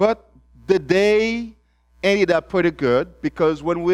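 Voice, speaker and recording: A man speaks at a very slow pace. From Haiti. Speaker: mission director, guest preacher. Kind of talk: sermon. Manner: halting.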